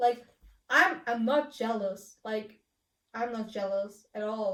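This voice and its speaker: In a German accent, a woman speaks with a fairly high pitch and ordinary pitch variation. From Germany. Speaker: vlogger answering questions. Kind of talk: casual video monologue. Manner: halting, many repetitions and fillers.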